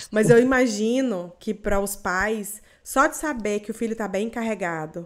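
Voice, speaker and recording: With a Goiás accent, a woman speaks fairly slowly at a fairly high pitch, showing ordinary pitch movement in a very clean recording with a silent background. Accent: Goiás Brazilian accent, noticeable. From Goiás, Brazil. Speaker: podcast host. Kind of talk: interview.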